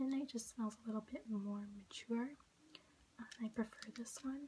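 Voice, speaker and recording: A woman at a fairly high pitch and moderate pace, her intonation fairly even, with noticeable background noise. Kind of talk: casual talk to camera. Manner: whispering, soft-spoken.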